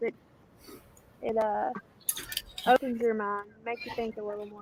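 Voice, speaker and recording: Over noticeable background noise, a woman talks in a strong Southern US accent with monotone, flat intonation. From US South. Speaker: livestream participant, prepper. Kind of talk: casual chat.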